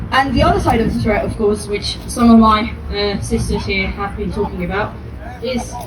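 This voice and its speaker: Audible room echo and noticeable background noise around a female voice. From Spain. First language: Spanish. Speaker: activist. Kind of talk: protest speech.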